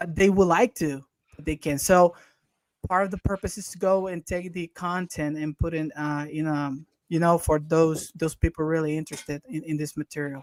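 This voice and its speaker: Speaking with a Spanish accent at a moderate pace, a man uses a fairly high pitch and fairly even intonation but big swings in loudness, in a dry, close sound with no echo. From Honduras. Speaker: interview host. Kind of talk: interview. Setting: live video call. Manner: halting, many repetitions.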